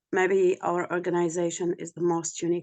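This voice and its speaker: At a fairly slow pace, a woman speaks in a dark, mellow tone with fairly low pitch and monotone, flat intonation. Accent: Arabic. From Jordan. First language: Arabic. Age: 40s. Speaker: bereaved parent, peace activist. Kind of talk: webinar testimony.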